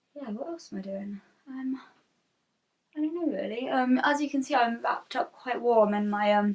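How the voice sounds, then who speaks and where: In a British accent, a woman speaks at a fairly high pitch and a moderate pace with ordinary pitch variation. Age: 20s. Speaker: freelance illustrator. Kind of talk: casual vlog talk to camera. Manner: rambling, hesitant.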